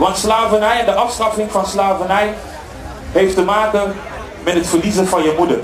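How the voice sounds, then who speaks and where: Fairly even intonation, with audible room echo and light background noise. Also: man. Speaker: event host. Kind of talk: public speech to crowd. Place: open country. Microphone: pa.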